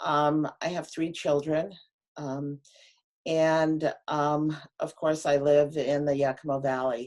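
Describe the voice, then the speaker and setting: A woman with a very deep, low pitch talks at a very slow pace in a monotone, flat intonation. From Pine Ridge Reservation, South Dakota. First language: Lakota. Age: 50s. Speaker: public health officer. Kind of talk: presentation. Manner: halting, many fillers.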